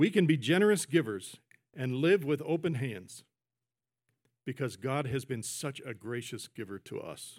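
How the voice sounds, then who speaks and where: Over a very clean recording with a silent background, a man with a normal speaking voice and fairly high pitch talks at a moderate pace with lively intonation. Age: 60s. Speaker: pastor. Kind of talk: sermon. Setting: church. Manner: conversational, with fillers and self-corrections.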